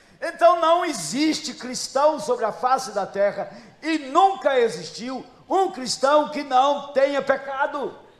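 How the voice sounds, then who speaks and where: An extremely high-pitched man at a fairly slow pace, with audible room echo. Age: 70s. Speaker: pastor. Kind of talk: sermon.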